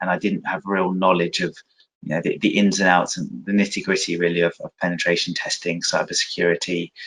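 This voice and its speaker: A man talks with a British accent. His pace is fairly quick. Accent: non-American, British. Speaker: cyber security sales lead. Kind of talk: interview. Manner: hesitant, many fillers.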